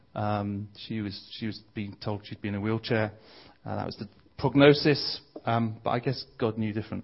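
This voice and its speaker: A man with a London accent, fairly low-pitched, at a moderate pace with fairly even intonation. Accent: southern English (London). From southeast London (Bromley). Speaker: visiting preacher. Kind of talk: sermon.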